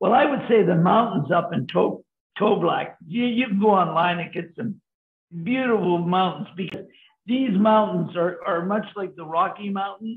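Audible room echo surrounds a man speaking in a high pitch at a moderate pace, with ordinary pitch variation. The background is quiet. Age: 80s+. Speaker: senior cyclist on a bike tour; interviewee. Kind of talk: casual interview. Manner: halting, repeats words. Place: home room. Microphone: video call.

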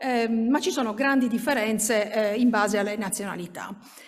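This woman has a fairly high pitch and ordinary pitch variation. It is a normal speaking voice, set against a quiet background. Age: 50s. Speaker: minority rights researcher; conference presenter. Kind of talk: conference talk. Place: hall.

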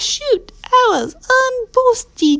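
Extremely high pitch in a put-on character voice. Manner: funny, comedic.

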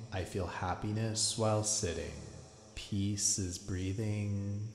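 Music plays in the background as a man speaks in a calm, soothing tone. His pace is very slow. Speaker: meditation guide. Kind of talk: guided meditation. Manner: slow, calm, soothing, repeating mantras in a gentle cadence.

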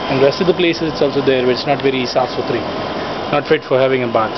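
Amid clear background noise, the man rattles along very fast, his pitch varying a normal amount. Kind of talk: casual vlog chat. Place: street. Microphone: phone near.

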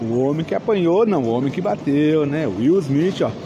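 A man speaks over noticeable background noise. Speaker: toy collector vlogger. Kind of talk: casual vlog chat. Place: hall. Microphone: phone near.

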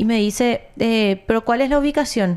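A woman speaks at a fairly slow pace. Her pitch is fairly high. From Paraguay. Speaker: news show co-host. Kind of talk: casual news chat. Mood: serious, concerned. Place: studio. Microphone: studio mic.

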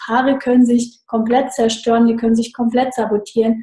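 A woman speaks at a moderate pace in a somewhat breathy, dark, mellow tone with a fairly high pitch. The background is quiet, though room echo is audible. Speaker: online marketing consultant. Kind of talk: interview. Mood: cheerful, enthusiastic. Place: home room. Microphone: video call.

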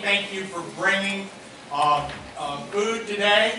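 A raised, projected voice carries over noticeable background noise, with audible room echo. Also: man. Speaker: pastor. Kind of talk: sermon announcements. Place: church.

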